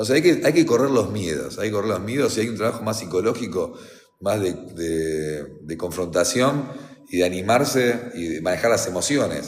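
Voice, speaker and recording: A man with a fairly low voice and very wide pitch swings, amid noticeable background noise and audible room echo. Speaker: defense lawyer. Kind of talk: reading aloud with commentary. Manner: fast; halting.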